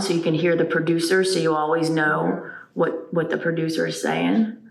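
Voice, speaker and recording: The speech moves at a moderate pace with fairly even intonation. Audible room echo and noticeable background noise surround it. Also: woman. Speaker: church media volunteer. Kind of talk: team meeting. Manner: loud.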